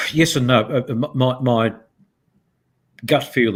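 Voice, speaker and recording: A somewhat breathy male voice. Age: 70s. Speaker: business leader, company chair. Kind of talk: interview. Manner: animated; halting.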